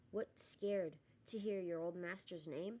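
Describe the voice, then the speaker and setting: A put-on character voice, croaky and hoarse, at a middle pitch and a moderate pace. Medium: read story.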